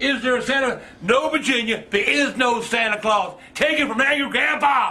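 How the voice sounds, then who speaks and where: A man with an American accent speaks in a raised, projected voice at an extremely high pitch, with an animated tone and ordinary pitch variation. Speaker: grandfather. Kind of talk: angry rant. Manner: loud, fuming, sarcastic; animated, mocking, rapid-fire. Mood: angry, sarcastic. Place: home room. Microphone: camera far.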